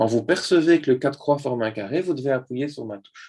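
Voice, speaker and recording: Using lively intonation, a man speaks at a medium pitch. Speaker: neuropsychologist giving a talk. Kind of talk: lecture. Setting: video call. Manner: fast.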